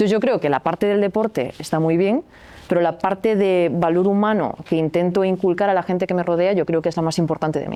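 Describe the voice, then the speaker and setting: A woman's fairly low, dark, mellow voice with a slight Galician accent, very fast, with ordinary pitch variation. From Galicia, Spain. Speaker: athlete and sports coach. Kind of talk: podcast interview. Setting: recording venue.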